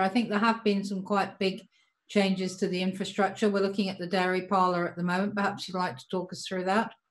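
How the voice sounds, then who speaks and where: Her voice is somewhat breathy. The woman speaks at a medium pitch. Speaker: moderator. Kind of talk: webinar interview.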